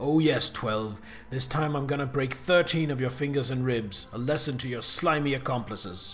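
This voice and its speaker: A man speaks in a put-on character voice at a medium pitch and a moderate pace, with ordinary pitch variation. There is hissing and clear background noise. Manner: vindictive, hissing.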